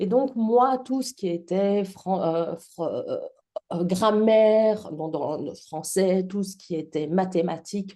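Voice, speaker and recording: A woman talks at a very slow pace in a dark, mellow tone. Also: medium pitch for a woman, ordinary pitch variation. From Belgium. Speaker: public speaking trainer and actress. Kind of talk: podcast interview.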